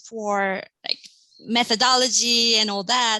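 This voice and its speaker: A woman with a Korean accent, bright and sharp in tone, at a fairly slow pace, in a dry, close sound without echo. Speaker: assistant professor. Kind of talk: panel discussion.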